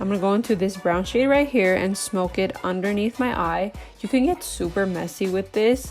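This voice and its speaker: A woman talks at a moderate pace. Music plays behind her. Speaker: makeup artist. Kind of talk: casual makeup tutorial talk to camera.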